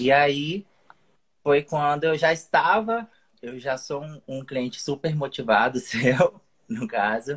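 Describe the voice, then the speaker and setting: A man's fairly high, somewhat breathy voice at a very slow pace, with lively intonation and big swings in loudness. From Espírito Santo, Brazil. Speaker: digital marketer, former PE professional. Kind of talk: casual chat. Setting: live call on stream. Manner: halting.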